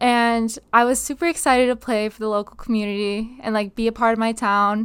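A woman with an unremarkable speaking voice, fairly high pitch and fairly even intonation, at a moderate pace with an American accent, on a very clean recording with a silent background. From Upstate New York, Binghamton. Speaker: college volleyball player. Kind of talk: casual interview.

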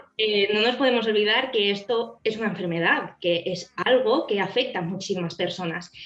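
A woman at medium pitch, moderate pace and ordinary pitch variation, hardly any pauses, noticeable background noise. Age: 20s. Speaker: psychologist. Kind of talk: interview. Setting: video call.

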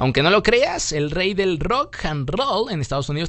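A man at a fairly slow pace, animated in tone and lively in intonation, with music in the background. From Mexico. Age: 30s. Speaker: podcast host. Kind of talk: casual chat.

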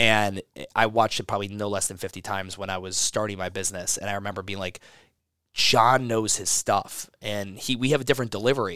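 Speaking very fast, a man with an American accent has a fairly low pitch and a bright, sharp tone. His intonation is fairly even, and the recording is very clean with a silent background. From US Midwest, Cleveland, Ohio. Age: 30s. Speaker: gym owner and fitness entrepreneur. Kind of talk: casual interview. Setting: in person at a gym.

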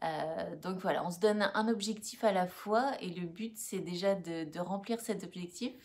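A woman speaks in a normal speaking voice at medium pitch with ordinary pitch variation. Her pace is fairly slow, with hardly any pauses. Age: 30s. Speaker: school employee and co-host. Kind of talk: casual livestream chat.

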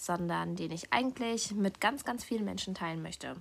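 A woman's relaxed voice at medium pitch. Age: 20s. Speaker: podcast host. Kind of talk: personal monologue.

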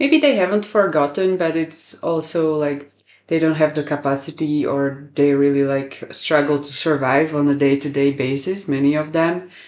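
Speaking with a Slovak accent, the voice moves at a moderate pace with hardly any pauses. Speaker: podcast host. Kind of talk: interview.

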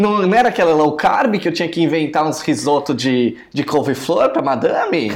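The speaker talks at a moderate pace with hardly any pauses, over noticeable background noise. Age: 20s. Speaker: podcast co-host. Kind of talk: casual chat.

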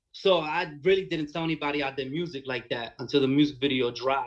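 Speaking with a Brooklyn accent, a man uses a fairly high pitch and ordinary pitch variation. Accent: New York (Brooklyn). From New York, Bushwick, Brooklyn. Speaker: rapper. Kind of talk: casual chat.

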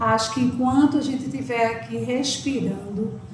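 Through audible room echo and noticeable background noise, a woman speaks at a fairly slow pace with a fairly high pitch. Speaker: psychology professor. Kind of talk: interview.

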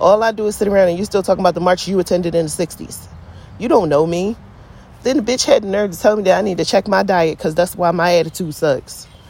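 A woman with an American accent sounds animated and passionate at medium pitch. Noticeable background noise runs beneath her voice. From Philadelphia, US. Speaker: podcaster. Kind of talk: casual rant. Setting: outdoors, in a hammock. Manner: animated, passionate, blunt.

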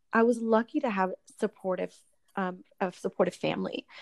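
Against a quiet background, a woman with an unremarkable speaking voice talks at a moderate pace with ordinary pitch variation, the sound dry and close with no echo. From Florida, Orlando (born in Puerto Rico). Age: 30s. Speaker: entrepreneur. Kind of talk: interview. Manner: frequent filler 'um'.

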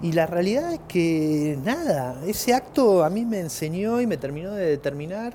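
With a Rioplatense accent, a man speaks at a fairly high pitch. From Argentina. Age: 30s. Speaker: podcast host. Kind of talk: casual monologue; storytelling.

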